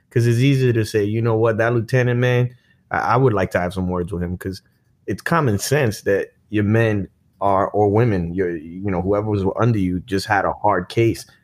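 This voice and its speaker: With a New York accent, a man speaks at a moderate pace in a fairly low pitch with ordinary pitch variation, in a very clean recording over a silent background. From Brooklyn, New York. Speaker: Marine veteran. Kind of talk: casual interview chat. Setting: studio in a cafe.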